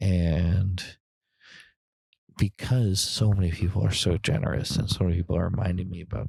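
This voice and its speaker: A soft-spoken man whispering, somewhat breathy, in a dry, close sound with no echo and a very clean recording with a silent background. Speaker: grieving sibling. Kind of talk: personal monologue. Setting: outdoors on a trail.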